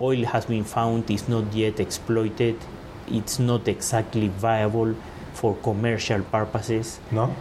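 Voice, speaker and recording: Monotone, flat delivery at a fairly slow pace, with very even loudness and noticeable background noise. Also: man, medium pitch for a man. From Venezuela. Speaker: law school dean. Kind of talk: interview conversation.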